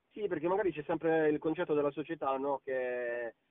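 Talking at a fairly quick pace, a man has an unremarkable speaking voice with ordinary pitch variation. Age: young. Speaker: singer. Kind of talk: interview. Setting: recorded call.

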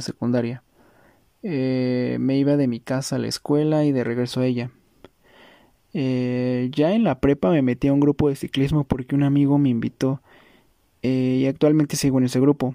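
Medium in pitch with a dark, mellow tone, a man talks at a moderate pace with fairly even intonation in a dry, close sound with no echo. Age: 20s. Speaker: cyclist. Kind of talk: testimony.

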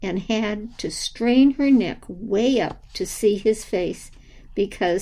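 With ordinary pitch variation, the reading voice is unforced.

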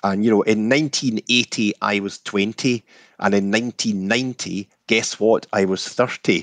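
A man with a Scottish accent talks at a moderate pace, his pitch fairly low and his intonation fairly even. The sound is dry and close with no echo, over a quiet background. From Scotland. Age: 60s. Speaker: whisky distiller. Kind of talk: casual interview chat.

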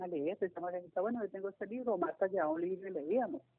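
This woman talks at a very fast pace. Her pitch is medium, with ordinary variation. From Colombia, Cali. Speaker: seamstress, member of a sewing circle. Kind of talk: interview. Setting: phone call.

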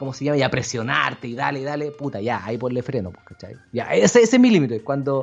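A man with a Chilean accent talks at a very fast pace with hardly any pauses, at a medium pitch with ordinary variation. Music plays in the background. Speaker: podcast co-host. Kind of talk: casual chat. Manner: animated.

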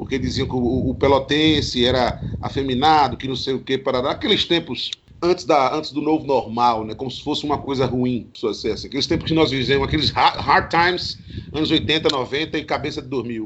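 Pitch shifts in an ordinary way. The delivery is rather brisk. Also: man, fairly high pitch for a man. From Garanhuns, Pernambuco, Brazil. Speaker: DJ and singer. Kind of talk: casual chat. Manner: animated.

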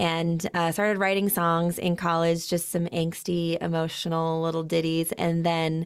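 Recorded very cleanly against a silent background, a woman with an American accent talks at a moderate pace and a fairly low pitch. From Utah. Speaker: singer-songwriter. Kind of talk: interview.

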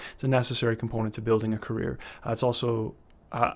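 A man with a Canadian prairie accent speaks at a medium pitch with fairly even intonation on a very clean recording with a silent background. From Canada, Winnipeg, Manitoba. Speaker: touring singer-songwriter. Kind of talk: interview. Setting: studio. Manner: hesitant with frequent fillers.

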